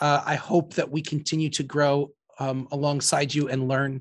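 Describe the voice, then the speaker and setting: A man speaks at a fairly high pitch in a normal speaking voice. His pace is fairly slow, and the background is quiet. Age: 40s. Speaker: priest and podcast host. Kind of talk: casual interview.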